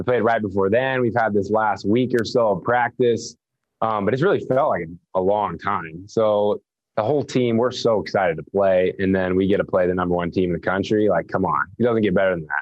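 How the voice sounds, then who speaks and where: A man with a plain, everyday voice speaks fairly quickly at a fairly low pitch, with ordinary pitch variation and very even loudness. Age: young. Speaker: college basketball player. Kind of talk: interview.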